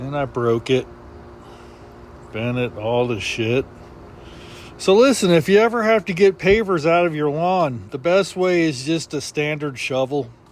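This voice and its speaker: With long, frequent pauses and lively intonation, a man with a fairly high pitch speaks at a fairly slow pace over noticeable background noise. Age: 60s. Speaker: DIY video creator. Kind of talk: casual vlog narration. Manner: casual, conversational.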